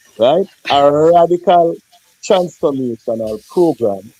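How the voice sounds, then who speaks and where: A man's fairly high-pitched, ordinary speaking voice with lively intonation, in a dry, close sound with no echo. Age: 40s. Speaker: politician. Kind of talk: heated debate. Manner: forceful.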